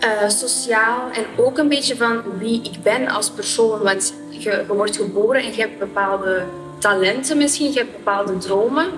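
Over clear music in the background, a woman with a fairly high pitch speaks at a fairly slow pace with ordinary pitch variation. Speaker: marketeer. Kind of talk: interview answer. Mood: calm, reflective, gesturing. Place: studio. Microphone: lapel.

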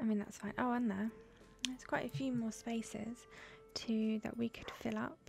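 Over music in the background, a soft-spoken woman talks in a relaxed tone at a moderate pace, her fairly high pitch showing ordinary variation. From Britain. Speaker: ASMR gaming YouTuber. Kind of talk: ASMR let's play gameplay commentary. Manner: soft-spoken, relaxed. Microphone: studio mic.

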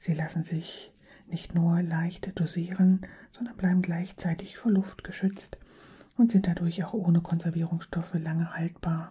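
Her voice has a husky, rough edge over a dark, mellow tone, as a woman speaks at a moderate pace in a fairly low pitch with fairly even intonation.

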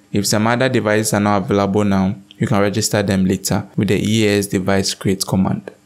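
Fairly quick and fairly low, a man's voice shows little pitch movement.

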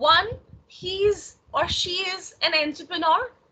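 Over light background noise, a woman raises and projects her extremely high voice, with ordinary pitch variation. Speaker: lecturer. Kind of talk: lecture. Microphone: video call.

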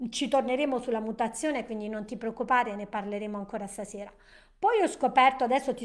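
Against a quiet background, a woman talks at a very fast pace with a fairly high pitch and ordinary pitch variation. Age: 60s. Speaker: nutrition and wellness educator; wellness educator. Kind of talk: live-stream presentation. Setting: live stream. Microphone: webcam.

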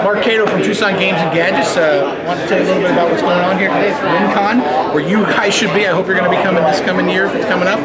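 A man talks at a very fast pace against crowd noise in the background. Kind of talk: promotional interview. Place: hall.

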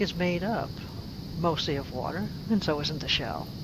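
A woman's voice with ordinary pitch variation, a dry sound with no echo, and loud background noise. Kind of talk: tutorial. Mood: calm, friendly. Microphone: phone near.

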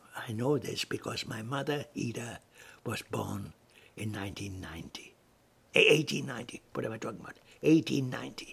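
A voice with vocal fry moves at a fairly slow pace with lively intonation. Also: man, medium pitch for a man. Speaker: family historian narrator. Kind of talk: lecture. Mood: warm, reminiscing. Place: home room. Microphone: webcam.

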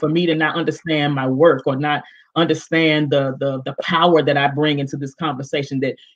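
A woman's low pitch with a slightly husky edge at a moderate pace

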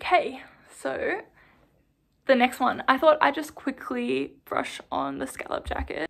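Woman with an Australian accent, fairly slow and full of long, frequent pauses, with big swings in loudness over a quiet background. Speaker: knitting vlogger. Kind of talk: casual vlog talk. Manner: animated. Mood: relaxed, chatty. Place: home room. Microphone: phone near.

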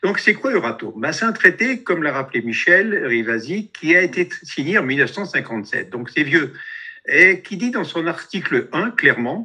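Over a quiet background, a man talks with very wide pitch swings. His tone is bright and sharp. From France. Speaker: activist, radiation protection researcher; webinar presenter. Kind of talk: presentation with slides. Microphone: video call.

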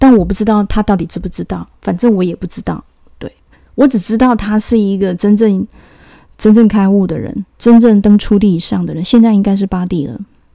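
A woman's dark, mellow voice at medium pitch, with fairly even intonation and a fairly quick pace. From Taiwan. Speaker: video channel host. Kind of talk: monologue commentary on politics and spirituality.

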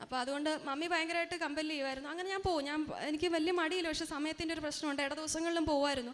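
Extremely high-pitched woman with monotone, flat intonation. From Kerala, Changanassery. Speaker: pediatric doctor. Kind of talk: religious testimony.

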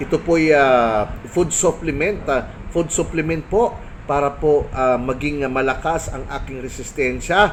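Fairly high pitch for a man, ordinary pitch variation and a fairly slow pace, with noticeable background noise. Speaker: barangay official vlogger. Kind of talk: casual vlog monologue. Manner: hesitant, many fillers.

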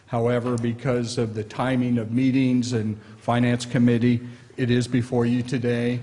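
The man in this clip speaks at a moderate pace. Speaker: presenter. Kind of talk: formal report presentation. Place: meeting room.

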